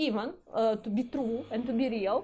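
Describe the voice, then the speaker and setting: Here a woman speaks with a Ukrainian accent and a dark, mellow tone. Her pitch varies in an ordinary way. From Ukraine, Kyiv. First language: Russian. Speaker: community representative. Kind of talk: interview. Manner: halting, many fillers.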